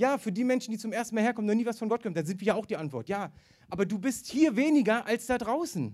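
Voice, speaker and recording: Very fast, animated delivery with ordinary pitch variation, on a very clean recording with a silent background. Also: man, high pitch for a man. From eastern Germany. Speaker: evangelist preacher. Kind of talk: sermon.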